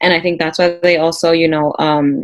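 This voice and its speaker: A woman speaks in a normal speaking voice with fairly low pitch. Her intonation stays fairly even. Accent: American. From US, Peruvian parents. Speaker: panel guest. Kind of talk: casual chat.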